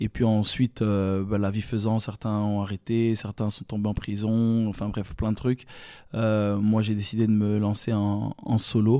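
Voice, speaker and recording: A man speaks fairly slowly with a dark, mellow tone and monotone, flat intonation. The sound is dry and close with no echo, and the recording is very clean with a silent background. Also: fairly low pitch for a man. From Belgium, Brussels (Evere). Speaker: rapper. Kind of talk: casual interview chat.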